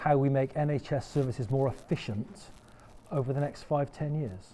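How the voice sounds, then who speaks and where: This man's voice sits fairly high and has a dark, mellow tone. It is somewhat breathy and moves at a fairly quick pace. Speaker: panel moderator. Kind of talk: panel discussion. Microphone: no microphone.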